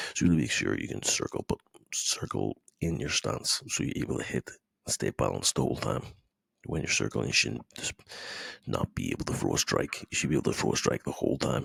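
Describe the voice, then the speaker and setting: At a fairly quick pace, a man with a very deep, low pitch and vocal fry speaks quietly with ordinary pitch variation, in a dry, close sound with no echo. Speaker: MMA coach. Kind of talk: instructional talk to camera. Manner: quiet, low-volume.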